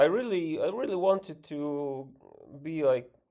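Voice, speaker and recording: A man's high-pitched voice with a dark, mellow tone and lively intonation, at a very slow pace, on a very clean recording with a silent background. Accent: Ukrainian. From Ukraine. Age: 30s. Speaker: vlogger and musician. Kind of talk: casual vlog monologue. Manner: hesitant, many fillers.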